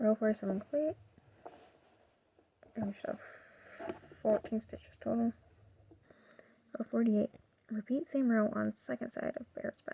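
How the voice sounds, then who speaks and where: The speaker is soft-spoken and keeps a moderate pace. Long, frequent pauses break up the speech. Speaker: crochet tutorial creator. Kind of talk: tutorial.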